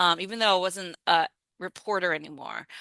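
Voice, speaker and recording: A woman with an American accent and a plain, everyday voice speaks with fairly even intonation, the sound dry and close with no echo and the background quiet. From United States. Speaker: journalist. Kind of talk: lecture. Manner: casual, many fillers.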